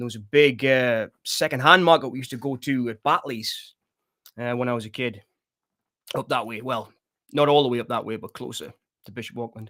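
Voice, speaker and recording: With a Sunderland accent, a man speaks at a moderate pace and medium pitch, using a bright, sharp tone, fairly even intonation, big swings in loudness and long, frequent pauses, in a very clean recording with a silent background. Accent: Mackem (Sunderland), still noticeable. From northeast England, Sunderland/Washington. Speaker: horror movie livestream host. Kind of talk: casual livestream chat reading viewer comments. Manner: relaxed, conversational with many fillers.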